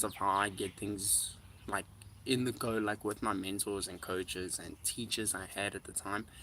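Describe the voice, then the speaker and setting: In a South African accent, a man talks at a fairly slow pace with fairly low pitch, a bright, sharp tone and fairly even intonation, on a very clean recording with a silent background. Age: 20s. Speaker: musician. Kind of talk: livestream chat. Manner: casual, filler-heavy.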